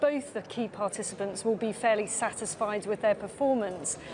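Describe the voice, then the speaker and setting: A woman talks at a fairly quick pace. Noticeable background noise runs underneath. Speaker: political journalist. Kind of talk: live TV interview. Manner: formal. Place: hall. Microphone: lapel.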